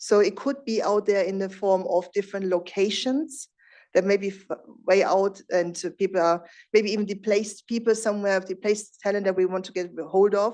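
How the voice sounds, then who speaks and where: Against a quiet background, a woman speaks with a dark, mellow tone. Her pitch is medium and her intonation fairly even. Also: moderate pace. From Germany. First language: German. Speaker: business executive, conference speaker. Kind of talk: conference presentation. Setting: stage with audience. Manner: conversational, some hesitations.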